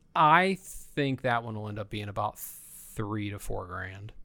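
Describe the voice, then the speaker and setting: A man's fairly low, bright, sharp voice in a Midwestern American accent, at a very slow pace, on a very clean recording with a silent background. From northern Indiana, near Fort Wayne. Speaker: comic book dealer. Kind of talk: casual chat. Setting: home basement studio.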